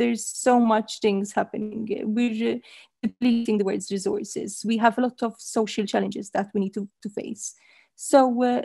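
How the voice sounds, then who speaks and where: A woman speaks with a dark, mellow tone and a somewhat breathy quality. Her intonation is fairly even, and the dry, echo-free sound sits against a quiet background. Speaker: panelist. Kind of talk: interview answer. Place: home room. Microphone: headset.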